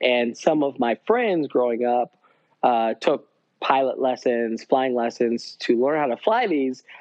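At a fairly slow pace, a man with an American accent and an unremarkable speaking voice talks at medium pitch with ordinary pitch variation. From upstate New York. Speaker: surgeon. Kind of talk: casual interview.

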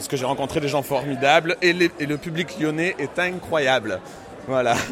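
A man keeps a moderate pace while noticeable background noise is heard behind him. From Marseille, southern France. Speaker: drag queen, cabaret singer. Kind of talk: interview. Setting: live event venue.

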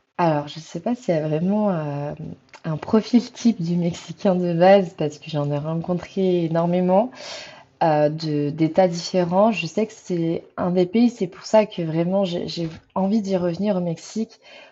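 A woman at a fairly slow pace, a normal speaking voice of medium pitch with ordinary pitch variation. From France. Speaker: traveller. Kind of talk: interview. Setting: remote call.

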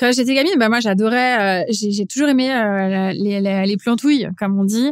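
In a very clean recording with a silent background, a woman speaks in a fairly high voice with fairly even intonation. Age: 40s. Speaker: chef. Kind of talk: interview conversation. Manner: hesitant, many fillers.

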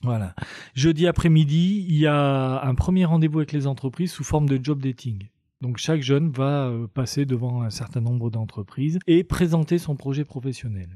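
Fairly high-pitched for a man, this voice is a plain, everyday voice, moving at a moderate pace with ordinary pitch variation. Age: 50s. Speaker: youth employment counselor working in prisons. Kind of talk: interview.

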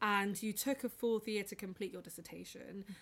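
A woman's normal speaking voice, medium in pitch, with fairly even intonation. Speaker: podcast host. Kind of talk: casual interview chat.

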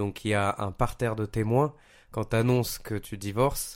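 A man speaks in an unremarkable speaking voice at a moderate pace. His pitch is medium and his intonation fairly even. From Paris. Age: 30s. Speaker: podcast guest. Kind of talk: casual chat.

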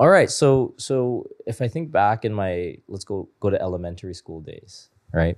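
In a Canadian accent, a man with a medium pitch and an unremarkable speaking voice talks at a moderate pace with lively intonation. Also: very clean recording, silent background. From Canada, Toronto. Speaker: tech investor and former software engineer. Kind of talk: casual interview chat.

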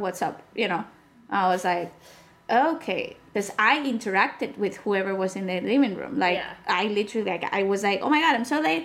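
A woman speaks in a Spanish accent at a moderate pace, her pitch fairly high and her intonation lively. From Spain. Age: 30s. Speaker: podcast guest. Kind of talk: casual chat.

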